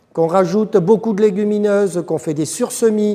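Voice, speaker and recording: A man with a south-west French accent. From south-west France. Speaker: agronomist consultant. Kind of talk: lecture.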